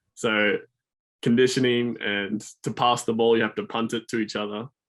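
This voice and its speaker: Over a silent background on a very clean recording, a man with an Australian accent talks at a moderate pace, his medium pitch held in a monotone, flat intonation. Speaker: student athlete. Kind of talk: podcast interview.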